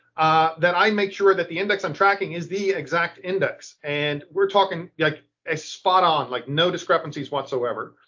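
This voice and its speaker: Someone with an Irish accent talks at a moderate pace with ordinary pitch variation. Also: man. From Ireland. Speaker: index fund portfolio manager. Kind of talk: interview.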